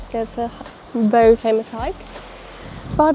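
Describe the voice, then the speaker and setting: Noticeable background noise sits behind a woman speaking in a German accent. Her voice is fairly high, and her intonation is lively. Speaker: travel vlogger. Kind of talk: travel vlog. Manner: casual.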